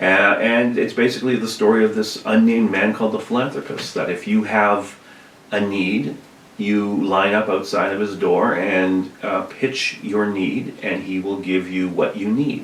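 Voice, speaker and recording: Soft-spoken and with a Canadian accent, a man talks with fairly even intonation amid noticeable background noise and audible room echo. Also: moderate pace. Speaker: high school art teacher and filmmaker. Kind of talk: casual chat.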